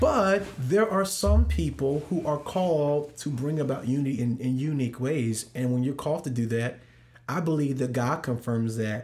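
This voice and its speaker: With an American accent, a man speaks at medium pitch and a moderate pace. His voice is somewhat breathy and shows ordinary pitch variation. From US Midwest, St. Louis. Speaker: worship pastor. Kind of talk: casual interview.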